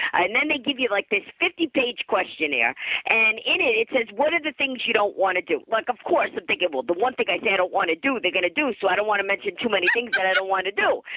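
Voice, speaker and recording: Against noticeable background noise, a woman with an American accent speaks very fast with hardly any pauses, her fairly high, animated voice making very wide pitch swings at very even loudness. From US East Coast. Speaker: comedian and author. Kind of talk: radio interview.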